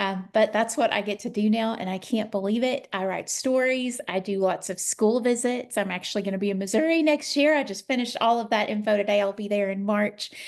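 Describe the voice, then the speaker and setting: A woman's fairly high voice in a strong Southern US accent, fairly quick in pace with hardly any pauses and ordinary pitch variation. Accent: Southern US, thick. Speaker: children's author. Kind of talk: interview.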